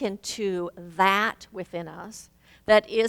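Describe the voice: Fairly even intonation across plain reading aloud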